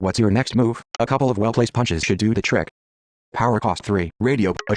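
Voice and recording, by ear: Someone reads aloud in a natural voice. Pitch varies in an ordinary way, and the background is quiet.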